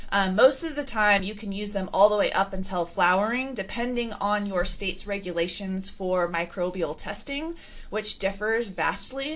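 A woman talks at a moderate pace with hardly any pauses, her pitch medium with ordinary variation. She has a normal speaking voice. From California. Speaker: regenerative farming consultant and teacher. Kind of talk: interview.

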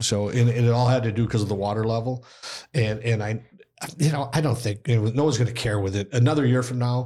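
Somewhat breathy and dark, mellow in tone, a man with an Upper Midwest accent talks at a very fast pace in a medium pitch with fairly even intonation. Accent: Upper Midwest (Minnesota). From Minnesota (Austin). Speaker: college hockey head coach. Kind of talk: casual interview.

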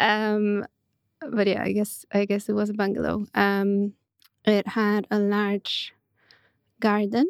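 A woman with a Polish accent speaks at a very slow pace and medium pitch, in a monotone, flat intonation with very even loudness and long, frequent pauses. The recording is very clean with a silent background and a dry, close sound with no echo. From Poland, near Poznań. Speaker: architect and writer. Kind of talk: interview. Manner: hesitant, many fillers.

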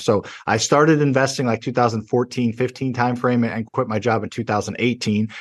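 A man with an American accent talks fairly quickly at a medium pitch, with fairly even intonation. It is an ordinary speaking voice over a quiet background. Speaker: real estate investor. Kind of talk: casual interview.

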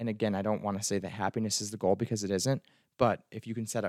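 This man has an unremarkable speaking voice, fairly low in pitch with fairly even intonation, moving at a fairly quick pace on a very clean recording with a silent background and a dry, close sound with no echo. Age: 20s. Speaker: podcast host and psychology student. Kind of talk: solo monologue podcast. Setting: recording at a microphone. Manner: casual with filler words.

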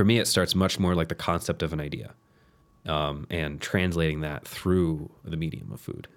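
Recorded very cleanly against a silent background, a man with a very deep, low pitch speaks at a moderate pace with ordinary pitch variation. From southern Louisiana. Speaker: pastry chef. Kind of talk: casual chat.

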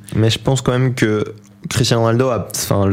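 A man talking very fast, with noticeable background noise. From Belgium, province of Namur. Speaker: football pundit. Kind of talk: radio sports talk show.

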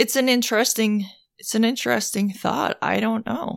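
A woman speaks with vocal fry. The recording is very clean, the background silent. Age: 40s. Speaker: podcast co-host. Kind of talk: casual chat.

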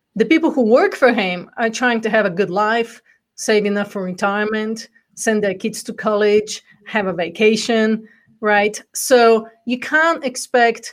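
A woman with a Bulgarian accent speaks at a moderate pace, her fairly high pitch moving with ordinary variation. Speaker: entrepreneur and coach. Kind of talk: interview. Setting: live stream video call.

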